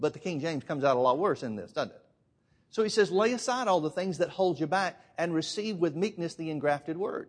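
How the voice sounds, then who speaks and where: A man with an Alabama accent talks at a fairly quick pace and high pitch, with lively intonation and big swings in loudness, against a quiet background. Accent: Southern US (Alabama). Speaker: preacher. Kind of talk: sermon.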